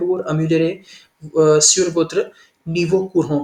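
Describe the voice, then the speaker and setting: The pace here is fairly slow. A man talks with a non-native accent. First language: not French (speaking French). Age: 20s. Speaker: French language learner. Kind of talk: language lesson conversation. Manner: halting, many hesitations.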